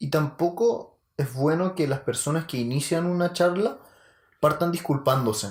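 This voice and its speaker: A man with a Chilean accent speaks at a fairly high pitch. His pitch varies in an ordinary way. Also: fairly slow pace. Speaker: podcast co-host. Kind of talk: casual chat.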